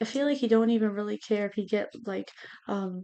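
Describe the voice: A woman speaks at a fairly quick pace in a medium pitch, with ordinary pitch variation and a dark, mellow tone.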